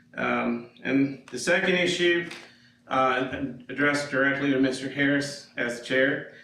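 Amid noticeable background noise and audible room echo, a man speaks at fairly high pitch. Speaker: citizen speaking at public comment. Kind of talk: public comment at council meeting. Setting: council chamber, microphone off. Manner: loud.

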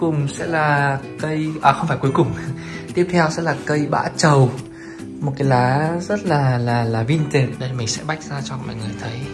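Speech comes at a fairly slow pace with clear music playing in the background. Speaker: vlogger showing her home. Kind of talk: casual vlog chat. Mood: cheerful, pleased. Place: home room. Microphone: phone near.

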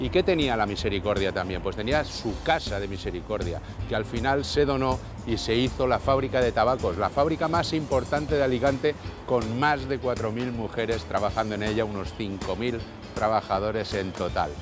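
Faint music plays in the background as a man talks at a moderate pace, the sound dry with no echo. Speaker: neighbourhood show host. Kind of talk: presenter commentary. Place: street.

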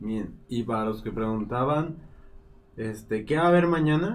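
With very wide pitch swings, a man talks at a fairly slow pace. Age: 30s. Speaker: live stream co-host and moderator; live stream co-host, moderator. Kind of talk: casual live stream chat. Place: studio.

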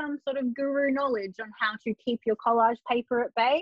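In an Australian accent, a woman speaks at a moderate pace, the sound dry with no echo and the background quiet. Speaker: journaling artist; podcast guest. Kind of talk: casual interview chat. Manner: animated, laughs often. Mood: relaxed, self-deprecating. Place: home room. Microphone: video call.

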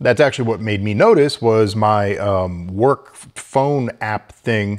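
Against a quiet background, a man speaks with ordinary pitch variation. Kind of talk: casual vlog chat. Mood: mildly exasperated, joking. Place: home room. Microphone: lapel.

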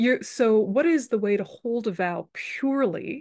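Lively intonation against a quiet background. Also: woman. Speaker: Buddhist teacher. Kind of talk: lecture. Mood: warm, occasionally laughing. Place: home room. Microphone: webcam.

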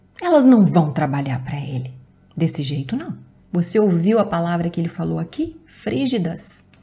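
The speaker talks at a moderate pace, with very wide swings in pitch. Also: woman, fairly low pitch for a woman. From Brazil. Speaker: YouTuber giving relationship advice. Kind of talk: advice video reading and commenting on viewer's letter. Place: home room.

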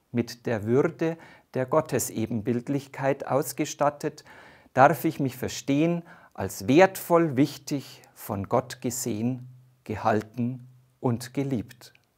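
Against a quiet background, the speech moves at a very slow pace with ordinary pitch variation. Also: man. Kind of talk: sermon. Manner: formal, measured; warm, earnest. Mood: warm, calm, reflective. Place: studio. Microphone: lapel.

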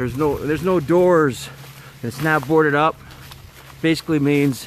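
The speech moves at a moderate pace, and the sound is dry with no echo. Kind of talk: casual vlog chat. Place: factory. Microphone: phone near.

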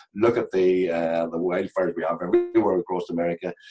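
Over clear background music, a man with a Northern Irish accent speaks very fast in a very deep, low, monotone voice with flat intonation. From Northern Ireland. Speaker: comedian and actor. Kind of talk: podcast interview answer. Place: home room. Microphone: video call.

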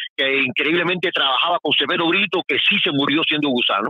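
Fairly quick and fairly high-pitched, the man speaks in a plain, everyday voice. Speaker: truck driver calling in. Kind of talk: phone-in call. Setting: phone call from truck.

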